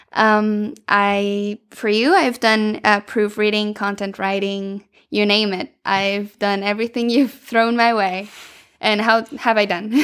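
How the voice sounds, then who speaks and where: In a very clean recording with a silent background, a woman speaks very slowly at a fairly high pitch, with flat, monotone intonation and a Spanish accent. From Venezuela. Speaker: podcast co-host and language consultant. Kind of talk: casual podcast conversation.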